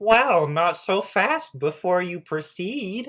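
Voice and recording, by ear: A man puts on a character voice with a high pitch. He talks at a very slow pace.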